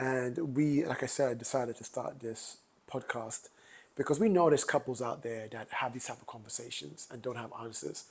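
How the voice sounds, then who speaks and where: A man's medium-pitched voice with a London accent, moderate pace, ordinary pitch variation and big swings in loudness. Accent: UK accent, a bit of London. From London, UK (born Grenada, moved at seven). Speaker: podcast co-host. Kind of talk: casual chat.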